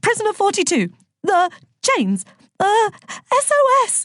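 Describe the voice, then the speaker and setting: A squeaky put-on character voice at a moderate pace, with lively intonation. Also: woman, extremely high pitch for a woman. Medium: read story.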